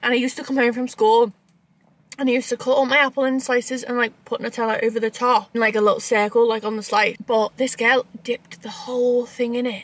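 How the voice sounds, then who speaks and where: Delivered at a very fast pace, the speech is monotone and flat, with a dry sound and no echo. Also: woman. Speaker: vlogger. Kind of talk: casual vlog chat. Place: car. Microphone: phone near.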